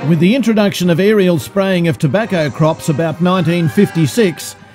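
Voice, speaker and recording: Over music in the background, a man with a high-pitched voice speaks at a moderate pace with lively intonation. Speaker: amateur filmmaker. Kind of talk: newsreel-style narration.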